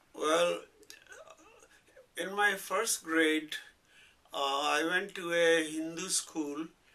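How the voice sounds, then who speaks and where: Noticeable background noise sits under a man's fairly high-pitched voice. He speaks at a very slow pace with fairly even intonation. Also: long, frequent pauses. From Pakistan, Punjab (Rawalpindi). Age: 70s. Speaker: retired English professor. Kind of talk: oral history interview. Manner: halting, many fillers.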